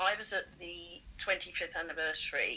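A woman speaks with a southern English accent. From southern England, Surrey. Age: 60s. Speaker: choir singer and charity fundraiser. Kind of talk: casual interview.

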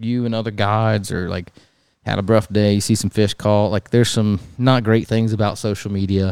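A plain, everyday voice from a man, medium-pitched, at a fairly quick pace, on a very clean recording with a silent background. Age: 20s. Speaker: podcast host and fishing guide. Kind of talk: casual chat. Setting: garage.

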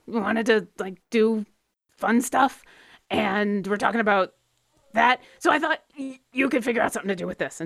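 A woman puts on a raspy character voice at a fairly high pitch. She speaks at a moderate pace. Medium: actual play. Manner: casual, chatty.

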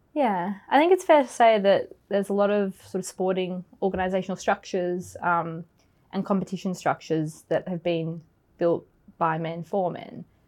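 A woman with an Australian accent speaks at a moderate pace and medium pitch with ordinary pitch variation, in a very clean recording with a silent background. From Australia, Melbourne area. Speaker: forensic accountant. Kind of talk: interview.

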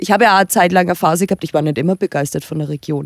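A woman with an Upper Franconian accent speaks at a fairly low pitch. The sound is dry and close with no echo, in a very clean recording with a silent background. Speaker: blogger. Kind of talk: casual chat. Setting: recorded at guest's home.

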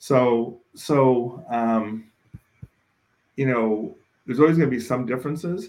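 Fairly slow speech with an American accent, long, frequent pauses and ordinary pitch variation. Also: man, medium pitch for a man. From Oakland, California (East Oakland). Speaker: state government official. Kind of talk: interview.

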